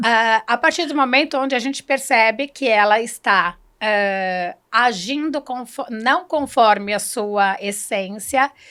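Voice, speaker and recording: In a very clean recording with a silent background, a woman with a bright, sharp, fairly high-pitched voice speaks at a very slow pace with hardly any pauses. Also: ordinary pitch variation. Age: 50s. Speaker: human development consultant. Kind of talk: interview.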